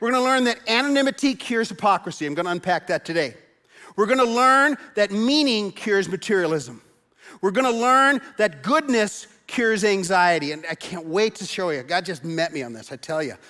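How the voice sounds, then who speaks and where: A raised, projected voice with a bright, sharp, animated tone moves at a fairly quick pace through very wide pitch swings, in a very clean recording with a silent background. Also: man, high pitch for a man. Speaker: pastor. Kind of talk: sermon.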